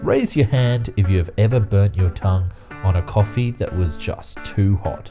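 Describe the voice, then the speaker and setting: With music in the background, a man talks with hardly any pauses. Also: ordinary pitch variation. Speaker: YouTube narrator. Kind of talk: explainer video narration.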